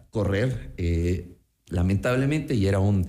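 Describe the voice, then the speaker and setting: The voice has a dark, mellow tone. It is somewhat breathy. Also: man. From Ecuador, Quito. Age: 30s. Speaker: city council candidate. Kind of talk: radio interview.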